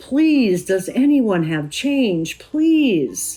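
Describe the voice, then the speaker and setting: A female-sounding voice does a put-on character voice with very wide pitch swings as faint music plays in the background. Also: fairly high pitch for a woman. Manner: frantic, desperate, repeating himself.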